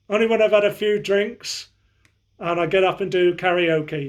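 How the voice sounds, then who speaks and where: A man with a West Country accent and a high pitch, speaking at a fairly slow pace with fairly even intonation. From southwest England, Somerset. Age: 60s. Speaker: fitness vlogger. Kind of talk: casual chat. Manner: halting.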